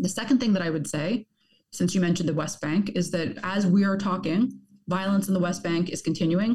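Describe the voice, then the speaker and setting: A woman speaks at a fairly quick pace with a medium pitch and ordinary pitch variation. Her tone is dark and mellow, somewhat breathy. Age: young. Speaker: journalist and author. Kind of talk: interview. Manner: halting.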